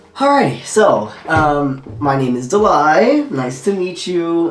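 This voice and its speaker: An American accent amid noticeable background noise. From Southern California, Torrance. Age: 20s. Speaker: YouTuber. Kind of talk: casual vlog Q&A. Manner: casual, filler-heavy.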